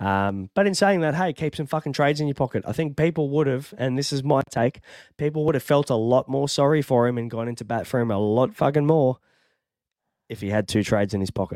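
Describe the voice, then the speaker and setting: On a very clean recording with a silent background and a dry, close sound with no echo, a man with an Australian accent talks at a fairly quick pace in a medium pitch with lively intonation. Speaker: fantasy sports podcast host. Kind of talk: casual chat. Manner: casual, chatty.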